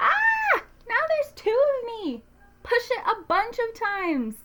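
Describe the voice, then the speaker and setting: This is a put-on character voice, squeaky in tone. It moves at a fairly slow pace. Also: woman, extremely high pitch for a woman. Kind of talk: children's read-aloud. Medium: read story. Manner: playful, exaggerated.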